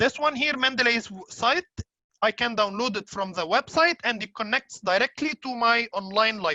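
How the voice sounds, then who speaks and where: With an Arabic accent, a woman speaks at a moderate pace in a fairly high, bright, sharp voice with lively intonation, recorded dry and close with no echo. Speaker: software trainer. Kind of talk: tutorial. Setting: webinar. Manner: hesitant, many fillers.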